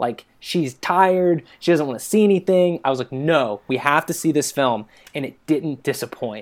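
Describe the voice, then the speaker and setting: A man with an American accent, a fairly high pitch, a moderate pace and a normal speaking voice. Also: lively intonation. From US, Chesapeake, Virginia. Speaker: podcast guest, volunteer advocate. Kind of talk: casual chat.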